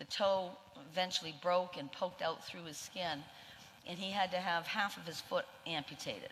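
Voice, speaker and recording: Speech comes at a moderate pace in a Maine accent with fairly even intonation. The tone is bright and sharp. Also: woman. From Maine, Portland. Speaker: nurse, union leader.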